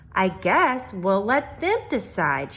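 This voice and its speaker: Over clear background noise, a woman puts on a character voice at a medium pitch. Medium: read story.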